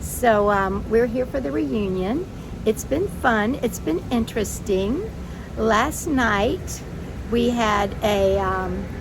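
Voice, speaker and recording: The speaker has an American accent and talks at a very slow pace. Room echo is audible, and there is noticeable background noise. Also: woman. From US South. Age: 60s. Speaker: vlogger with rheumatoid arthritis. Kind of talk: casual vlog monologue. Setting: outdoors by the bay. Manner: conversational, with fillers.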